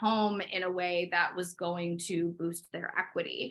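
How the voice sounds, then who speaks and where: In a medium pitch, a woman speaks at a moderate pace. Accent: slight Midwestern. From US Midwest, Chicago. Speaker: interior designer. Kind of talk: interview.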